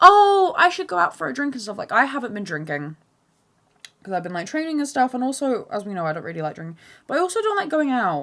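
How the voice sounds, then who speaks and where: Over a very clean recording with a silent background, a woman talks at a very fast pace, her high pitch making very wide swings, her tone bright and sharp, and her loudness shifting in big swings. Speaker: podcast host. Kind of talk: casual monologue. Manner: animated; fast, stumbling over words.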